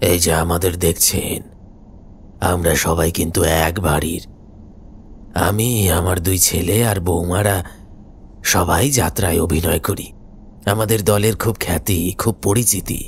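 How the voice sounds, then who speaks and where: A man's put-on character voice, very deep and low, at a fairly slow pace over clear background noise. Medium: audio drama. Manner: slow, quiet, measured.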